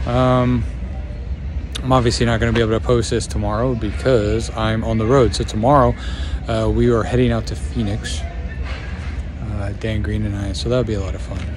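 Over music in the background, the speaker uses lively intonation at a moderate pace with long, frequent pauses, in a dry sound with no echo. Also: man, very deep, low pitch for a man. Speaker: stand-up comedian. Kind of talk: casual vlog chat. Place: street. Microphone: phone near.

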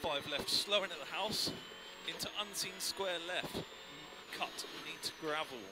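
Against loud background noise, a man with a high pitch talks in a calm tone at a fairly slow pace, with long, frequent pauses, ordinary pitch variation, and a dry sound with no echo. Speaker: rally co-driver. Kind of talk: pace note calling. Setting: in a rally car on a stage, intercom. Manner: calm, encouraging with bursts of excitement near the finish. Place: car. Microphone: helmet.

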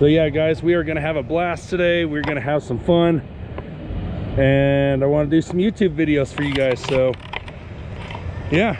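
With ordinary pitch variation, a man speaks through long, frequent pauses, the sound dry with no echo and noticeable background noise behind it. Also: moderate pace. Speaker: vlogger. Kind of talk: casual vlog chat. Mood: cheerful, laughing. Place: street. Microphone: phone near.

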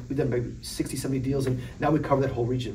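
Light background noise runs under a man's voice. He speaks at a fairly quick pace with fairly even intonation. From US Midwest (Chicago area). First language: Polish. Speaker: entrepreneur and venture investor. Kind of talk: interview. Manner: casual, conversational, frequent filler 'right?'. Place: studio.

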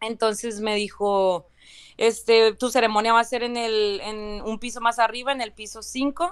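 A woman's plain, everyday voice, fairly high in pitch, with fairly even intonation and big swings in loudness, on a very clean recording with a silent background. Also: fairly slow pace. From Valle de Guadalupe, Ensenada, Baja California, Mexico. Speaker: citizenship applicant. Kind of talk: testimony. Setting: live stream.

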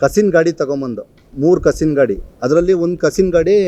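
A man speaks at a high pitch with lively intonation. His tone is dark and mellow. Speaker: village council member and contractor. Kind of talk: press statement rebuttal.

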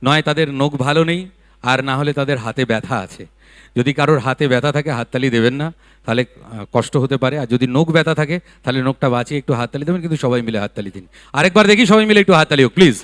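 A man's fairly high voice with ordinary pitch variation, dry and close with no echo, on a very clean recording with a silent background. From West Bengal, Barrackpore. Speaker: event emcee. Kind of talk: stage anchoring with anecdotes. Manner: animated.

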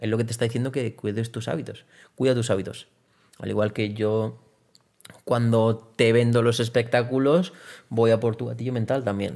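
The voice moves at a fairly quick pace. Its intonation stays fairly even, and the background is quiet. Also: man. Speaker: trial bike rider and entrepreneur; podcast guest. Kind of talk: interview conversation. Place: studio.

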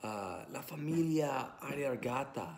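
A man with an English accent, fairly high in pitch, at a very slow pace with ordinary pitch variation. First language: English (speaking Italian). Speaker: language student. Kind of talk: prepared class presentation. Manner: halting, many fillers. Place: home room. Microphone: phone near.

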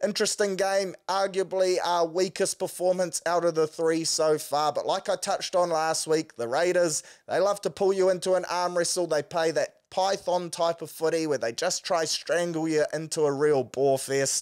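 Against a quiet background, a man talks at a high pitch and moderate pace with hardly any pauses. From New Zealand. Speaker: sports podcast host. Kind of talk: casual sports talk. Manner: animated. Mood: casual, wry. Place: studio. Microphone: studio mic.

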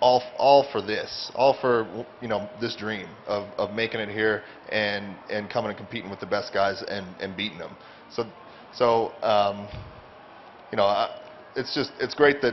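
The speech has long, frequent pauses and fairly even intonation. Light background noise can be heard. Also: man. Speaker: MMA fighter. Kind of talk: press conference. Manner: halting; soft-spoken. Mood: earnest, grateful. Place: hall. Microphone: handheld.

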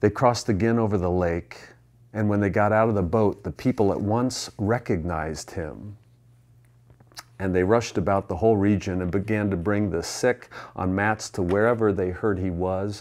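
Before a quiet background, a man talks at a moderate pace with fairly even intonation. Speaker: pastor. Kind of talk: sermon. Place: church. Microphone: lapel.

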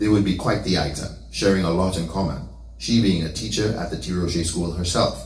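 A man's very deep, low voice with a warm tone and lively intonation at a fairly quick pace, with audible room echo. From St. Lucia. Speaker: son delivering eulogy. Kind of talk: eulogy at a funeral, storytelling life tribute with scripture and prayer. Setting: church funeral service. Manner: warm, affectionate storytelling with light humor; emotional, heartfelt closing. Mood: warm, solemn storytelling. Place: home room.

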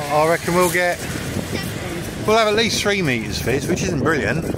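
Loud background noise sits behind a voice at a moderate pace, with a dry sound and no echo. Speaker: vlogger. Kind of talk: casual vlog chat. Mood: cheerful, upbeat. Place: beach. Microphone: phone near.

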